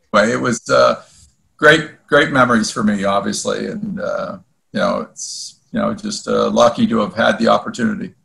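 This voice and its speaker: In an Ontario accent, a man speaks at a moderate pace. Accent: Canadian (Ontario). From Ontario, Canada (Woodbridge, near Toronto). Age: 60s. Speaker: former hockey goalie. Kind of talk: podcast interview. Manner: hesitant, many fillers.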